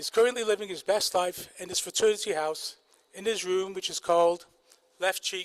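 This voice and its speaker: Loudness swings widely while the intonation stays fairly even at a moderate pace. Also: man, high pitch for a man. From northern England, Manchester. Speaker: medical school faculty, kidney doctor. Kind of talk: ceremony speech. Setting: outdoor ceremony with audience.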